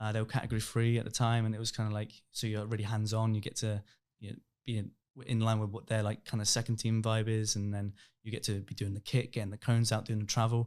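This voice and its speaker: A man's medium-pitched voice with an English accent, monotone and flat, delivered at a very fast pace in a very clean recording with a silent background. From England, Reading. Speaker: youth football coach. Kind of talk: podcast interview. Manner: mumbling.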